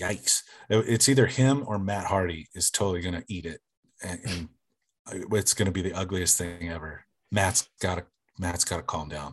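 A man speaks at a moderate pace with a very deep, low pitch and ordinary pitch variation. His voice is somewhat breathy, broken by long, frequent pauses. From small-town Oklahoma. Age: 40s. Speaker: sports fan. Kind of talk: casual chat.

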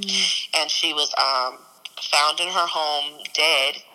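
A woman with an American accent speaks against noticeable background noise. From East St. Louis, Illinois (US Midwest). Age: 30s. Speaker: preacher and event promoter. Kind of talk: testimony. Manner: halting, many fillers.

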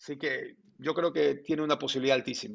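With a normal speaking voice, the man talks at a moderate pace in a fairly high pitch. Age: 50s. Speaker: sports journalist. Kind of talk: interview.

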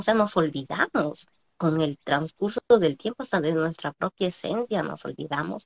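A woman with a normal speaking voice and lively intonation talks at a fairly slow pace, in a dry, close sound with no echo. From Peru, small Andean village. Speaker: entrepreneur. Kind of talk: interview on live stream.

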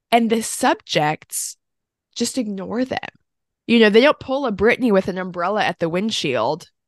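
A woman with an unremarkable speaking voice talks at a moderate pace and a fairly high pitch, her intonation lively, against a quiet background in a dry, close sound with no echo. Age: 30s. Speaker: film podcast co-host. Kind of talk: casual chat. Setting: home recording, separate room.

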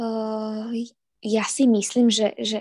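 A woman's fairly high voice, dark and mellow in tone, with a dry, close sound and no echo. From eastern Slovakia, Prešov. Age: 20s. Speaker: ballet dancer. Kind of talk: interview. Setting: online call.

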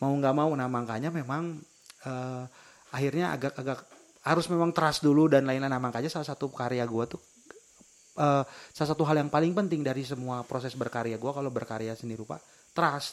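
With fairly even intonation, a man speaks at a fairly quick pace and a fairly high pitch. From West Java, Indonesia. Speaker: podcast co-host. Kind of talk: casual chat.

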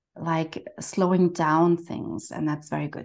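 At a fairly slow pace, a woman talks with a German accent and a fairly low pitch. The background is quiet. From Germany. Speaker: financial coach, therapist. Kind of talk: casual interview conversation.

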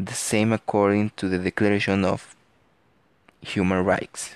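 With a Mexican accent, a man speaks in a fairly low, flat monotone. The sound is dry and close with no echo, over a quiet background. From Mexico. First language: Spanish. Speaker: podcaster. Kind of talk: student presentation. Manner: halting.

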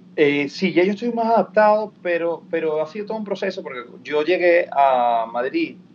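Speaking with a Venezuelan accent, a man swings his pitch very widely. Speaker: actor and TV presenter. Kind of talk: interview.

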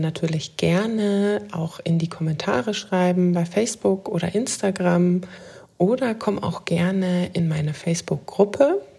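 With a calm, soothing tone that is dark, mellow and somewhat breathy, a woman speaks at a fairly slow pace. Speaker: podcast host and life coach. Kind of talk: guided meditation. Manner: slow, calm, soothing; gentle, meditative, with long pauses.

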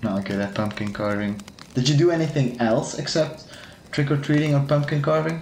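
Speaking at a fairly quick pace, a man with a fairly high pitch uses ordinary pitch variation amid audible room echo and noticeable background noise. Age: 20s. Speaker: podcast host. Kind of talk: casual chat.

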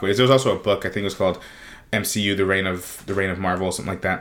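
A man's voice at a fairly low pitch. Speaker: podcast co-host. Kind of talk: casual chat. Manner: clear enunciation.

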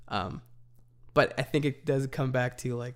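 Heard on a very clean recording with a silent background, a man at a medium pitch talks with vocal fry. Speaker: podcast co-host, church worker. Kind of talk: casual conversational podcast chat.

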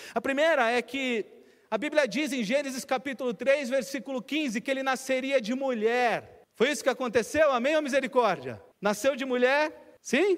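Pitch shifts in an ordinary way here. The pace is moderate. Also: man, extremely high pitch for a man. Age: 40s. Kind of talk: sermon.

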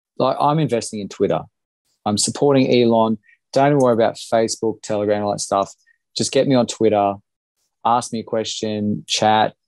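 A man's medium-pitched voice at a moderate pace, with fairly even intonation and long, frequent pauses. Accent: Australian. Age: 30s. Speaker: small business owner, former political candidate. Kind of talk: casual interview conversation.

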